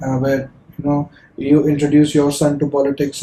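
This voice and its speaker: The man's voice is dark and mellow, somewhat breathy, and fairly high in pitch. He talks at a fairly quick pace with monotone, flat intonation. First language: not English. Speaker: podcast host. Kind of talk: casual chat. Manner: halting.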